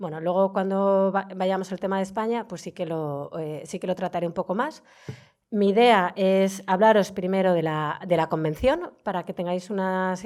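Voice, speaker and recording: A woman speaks at a fairly quick pace in a medium pitch, with ordinary pitch variation. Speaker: heritage official, lecturer. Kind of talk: lecture. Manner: fast.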